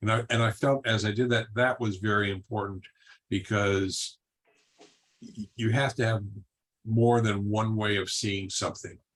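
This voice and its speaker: Somewhat breathy and fairly low-pitched, a man speaks in a monotone, flat intonation broken by long, frequent pauses. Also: moderate pace. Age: 70s. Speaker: martial arts teacher. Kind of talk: panel discussion. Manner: halting.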